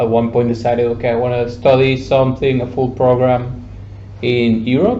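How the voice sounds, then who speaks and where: With music in the background and audible room echo, a man speaks at a moderate pace in a medium pitch, his intonation monotone and flat. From Mexico. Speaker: psychologist. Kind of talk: casual interview. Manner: halting.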